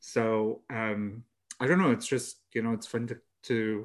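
A man with medium pitch and an unremarkable speaking voice, fairly even in intonation, at a fairly slow pace. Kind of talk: casual chat. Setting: remote call.

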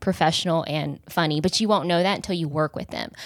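In a very clean recording with a silent background, a woman speaks in a plain, everyday voice, fairly low in pitch, with ordinary pitch variation. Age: 30s. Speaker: comedian. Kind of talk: casual chat.

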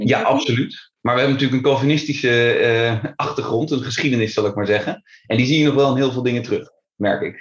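A somewhat breathy man talks very fast at medium pitch with fairly even intonation. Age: 30s. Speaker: business partner in an assessment and coaching firm. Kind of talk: casual interview.

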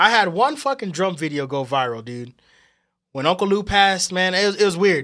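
Over a silent background on a very clean recording, a man speaks fairly quickly in a bright, sharp tone with lively intonation. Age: 30s. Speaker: musician and drummer. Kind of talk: casual chat.

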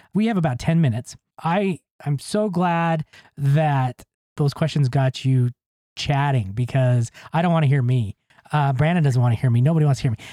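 This man's fairly high pitch comes with a dark, mellow tone, ordinary pitch variation and very even loudness at a moderate pace, in a dry, close sound with no echo. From Utah, US West. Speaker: podcast host and author. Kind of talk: interview.

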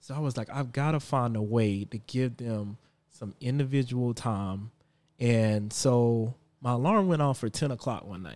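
With an American accent and a normal speaking voice, a man talks at a fairly slow pace and medium pitch with ordinary pitch variation on a very clean recording with a silent background. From South Carolina (Florence). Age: 30s. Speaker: father sharing experiences. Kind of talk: casual conversation.

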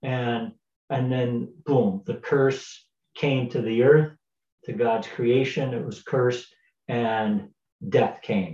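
Somewhat breathy and dark, mellow in tone, a man speaks at a very slow pace in a medium pitch with ordinary pitch variation and long, frequent pauses. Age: 60s. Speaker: pastor. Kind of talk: devotional talk. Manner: halting, many fillers.

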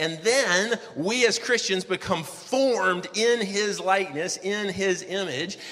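Speech comes at a very slow pace with hardly any pauses and ordinary pitch variation. Noticeable background noise can be heard. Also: man, high pitch for a man. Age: 40s. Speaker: pastor. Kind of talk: sermon. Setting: church. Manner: casual and conversational, with fillers.

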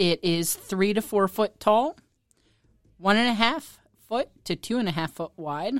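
In a very clean recording with a silent background and a dry, close sound with no echo, a woman speaks at a medium pitch and a fairly slow pace, with lively intonation and long, frequent pauses. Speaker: quiz presenter, producer. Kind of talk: reading quiz clues.

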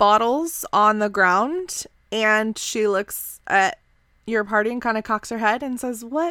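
Plain reading aloud carries ordinary pitch variation throughout.

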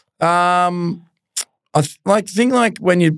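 A man with an Australian accent and ordinary pitch variation, on a very clean recording with a silent background. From Australia, Melbourne. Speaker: former pro footballer. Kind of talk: casual chat.

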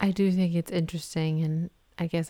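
A woman's fairly low, dark and mellow voice with an American accent, at a moderate pace, in a dry, close sound with no echo. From Massachusetts, US. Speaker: host's wife, mother. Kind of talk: casual religious discussion.

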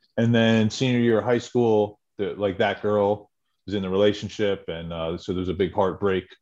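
This is a normal speaking voice at a moderate pace. The intonation stays fairly even. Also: man, fairly low pitch for a man. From central New Jersey. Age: 40s. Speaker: person in recovery. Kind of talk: testimony.

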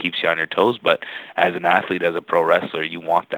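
A man speaks over noticeable background noise. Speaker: professional wrestler. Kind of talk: casual interview. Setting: phone call.

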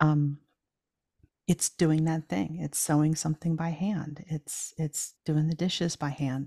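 A woman's very deep, low, somewhat breathy voice with an American accent, fairly slow and fairly even in intonation, in a dry, close sound with no echo. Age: 50s. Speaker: podcast host and shepherdess farmer. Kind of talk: casual interview chat.

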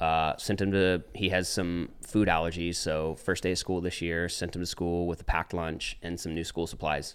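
Very deep and low, a man with an American accent talks at a moderate pace in a monotone, flat way with hardly any pauses, on a very clean recording with a silent background. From Texas, Dallas. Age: 30s. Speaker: church planter. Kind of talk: casual chat. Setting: home studio in garage.

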